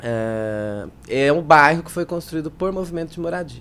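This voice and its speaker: Here a woman speaks with a very deep, low pitch. Her pace is fairly slow, and her pitch variation is ordinary. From São Paulo, East Zone. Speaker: politician. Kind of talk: interview. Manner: halting.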